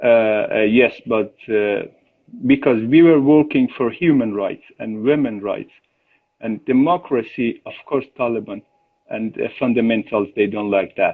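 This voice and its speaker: A man with a non-native accent. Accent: foreign accent in English. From Iran, born and raised as Afghan refugee. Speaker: chef and cooking teacher. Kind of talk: interview. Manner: halting, many filler sounds.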